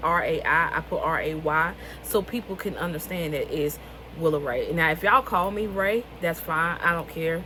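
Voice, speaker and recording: With a Southern US accent, a woman speaks at a moderate pace and fairly low pitch, with ordinary pitch variation. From US South, rural North Carolina. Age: 20s. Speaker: author and vlogger. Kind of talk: casual vlog talk.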